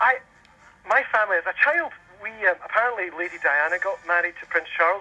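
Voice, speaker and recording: A man's high, raised, projected voice at a fairly quick pace with lively intonation. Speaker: caller. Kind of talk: radio interview.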